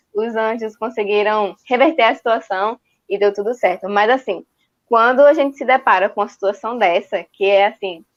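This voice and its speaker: The speaker has a northeastern Brazilian accent and ordinary pitch variation. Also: woman. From Northeast Brazil, João Pessoa. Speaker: church youth and children's worker. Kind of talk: casual chat.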